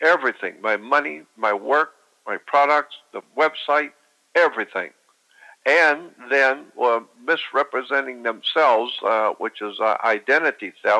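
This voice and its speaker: Bright and sharp in tone, a man's fairly high voice moves at a fairly slow pace with ordinary pitch variation. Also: dry, close sound with no echo. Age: 70s. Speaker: researcher. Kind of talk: casual chat.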